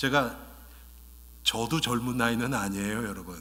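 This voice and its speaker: A man speaks fairly slowly at a medium pitch, his tone bright and sharp with vocal fry. Room echo is audible around him. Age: 60s. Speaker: pastor. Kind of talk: sermon. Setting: church. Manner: bilingual, switching Korean and English.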